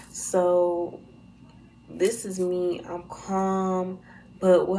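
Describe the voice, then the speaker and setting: A soft-spoken woman with a dark, mellow tone and fairly low pitch talks amid audible room echo. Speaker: YouTuber. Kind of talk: storytime vlog. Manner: talking low.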